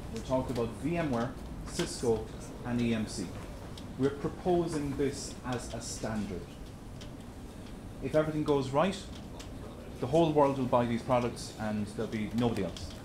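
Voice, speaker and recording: A man with an Irish accent speaks at medium pitch and a moderate pace. He leaves long, frequent pauses, and room echo is audible. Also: ordinary pitch variation. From Ireland. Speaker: tech presenter. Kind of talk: presentation. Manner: repetitive, stammering restarts.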